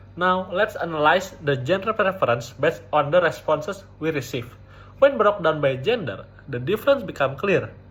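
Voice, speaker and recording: This man talks at a moderate pace with a fairly high pitch. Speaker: university student. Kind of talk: academic presentation. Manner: occasional stuttering, not fully fluent.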